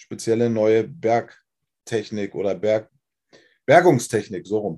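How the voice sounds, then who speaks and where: Here a man talks at a moderate pace with a dark, mellow tone. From Germany, Wolfsburg (Lower Saxony). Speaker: former rock singer. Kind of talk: testimony interview. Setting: livestream.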